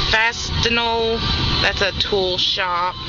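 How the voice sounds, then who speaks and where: Clear music plays in the background. Over it, a woman speaks at a very slow pace. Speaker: vlogger. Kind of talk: casual vlog chat. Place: car. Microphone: phone near.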